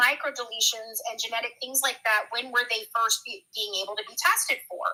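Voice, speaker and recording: A woman's high, raised, projected voice with a bright, sharp tone, lively intonation and a moderate pace. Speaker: true crime commentator. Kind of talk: casual chat. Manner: loud; animated.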